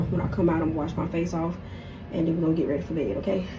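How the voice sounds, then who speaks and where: There is audible room echo as a woman talks at a very fast pace. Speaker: lifestyle vlogger. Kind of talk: casual vlog chat. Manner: halting, stuttering.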